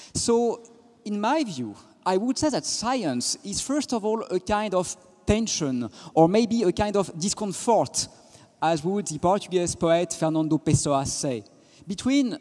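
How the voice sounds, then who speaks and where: Speaking with a French accent, a man with a high pitch talks at a fairly slow pace, his pitch swinging very widely. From France. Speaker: physicist and philosopher. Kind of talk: panel talk.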